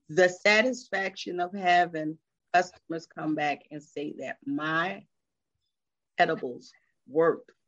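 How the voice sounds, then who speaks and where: A woman speaks with an American accent at a fairly slow pace. Her pitch is very deep and low, with ordinary variation. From Philadelphia, US. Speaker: small business owner, edibles maker. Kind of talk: casual interview.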